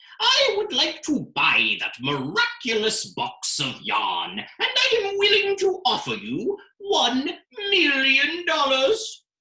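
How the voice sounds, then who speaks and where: In a put-on character voice of extremely high pitch, the speaker goes at a fairly slow pace with very wide pitch swings. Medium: read story. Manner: imperious.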